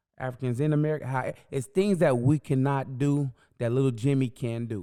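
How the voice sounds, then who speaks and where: At a fairly quick pace, a man with medium pitch, ordinary pitch variation and a dark, mellow tone speaks. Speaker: podcast co-host. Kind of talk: casual chat. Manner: loud.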